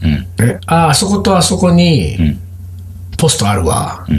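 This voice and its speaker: Amid audible room echo and noticeable background noise, a man talks at a fairly slow pace, his loudness very even while his pitch swings very widely. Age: 40s. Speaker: podcast co-host. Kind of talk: casual chat. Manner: animated.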